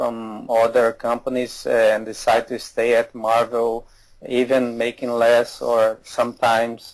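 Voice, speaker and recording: The speaker is a man with a Portuguese accent. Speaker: comic artist. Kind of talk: interview. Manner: halting.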